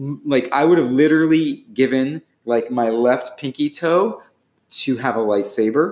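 An ordinary speaking voice from a man, fairly high in pitch, with ordinary pitch variation and a fairly slow pace. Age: 40s. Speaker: poet, writer and relationship blogger. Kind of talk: casual chat.

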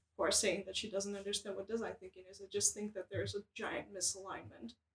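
Vocal fry runs through this woman's voice. Her pitch is medium. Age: 20s. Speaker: graphic designer, podcast co-host. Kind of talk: casual chat.

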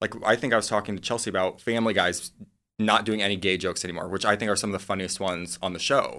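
With an American accent, a man talks at a very fast pace in a bright, sharp tone and fairly even intonation, on a very clean recording with a silent background. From US Midwest. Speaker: personal assistant. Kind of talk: casual chat.

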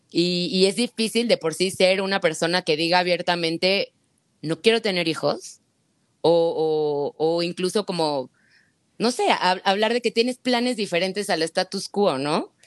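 In a plain, everyday voice, a woman at medium pitch speaks at a fairly slow pace with ordinary pitch variation, the sound dry and close with no echo. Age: 30s. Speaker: egg-freezing patient sharing her experience. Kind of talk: testimony in casual chat.

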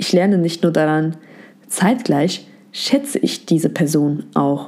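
With a Turkish accent, a woman speaks at a fairly slow pace in a dark, mellow tone. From Germany. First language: Turkish (speaking German). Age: 20s. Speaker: psychology content creator, educator. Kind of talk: scripted narration.

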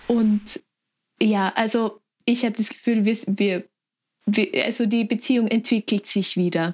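A woman speaks with fairly even intonation and a fairly high pitch, her somewhat breathy voice dry and close with no echo, her loudness very even, and her pauses long and frequent. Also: fairly slow pace. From Lower Austria. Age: 20s. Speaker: sibling of a person with Down syndrome. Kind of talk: interview.

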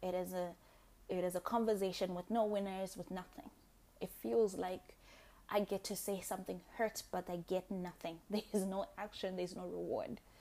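A woman with a Zimbabwean accent speaks in a dark, mellow tone with fairly even intonation. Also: medium pitch for a woman, moderate pace. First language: Shona. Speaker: podcast host. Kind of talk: solo monologue.

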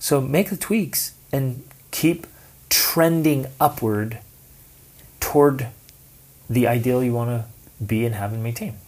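A man talks at a very slow pace with long, frequent pauses. His medium-pitched voice is somewhat breathy, with ordinary pitch variation. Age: 40s. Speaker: podcast co-host, teaches online class for teens. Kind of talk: casual chat.

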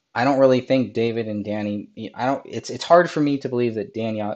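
Against a quiet background, a man talks in a dark, mellow tone with ordinary pitch variation. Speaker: true crime livestreamer and author. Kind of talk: live chat commentary. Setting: livestream.

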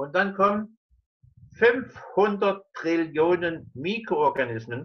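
The man's voice sits at a high pitch. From eastern Germany (Dresden). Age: 70s. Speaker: scientist and physician. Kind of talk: interview. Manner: halting.

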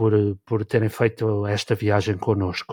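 A man with a plain, everyday voice at a medium pitch speaks at a moderate pace, in a dry, close recording with no echo, very clean and with a silent background. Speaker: podcast host. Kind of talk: casual chat.

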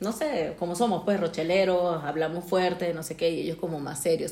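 There is noticeable background noise behind this woman. She speaks at a moderate pace with a fairly low pitch. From Venezuela. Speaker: podcast co-host. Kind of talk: casual chat. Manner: loud.

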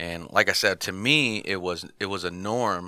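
A man with an American accent has a very deep, low pitch and a bright, sharp tone. The recording is very clean, with a silent background. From Michigan, US. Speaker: pastor. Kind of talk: testimony. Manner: casual, with many fillers.

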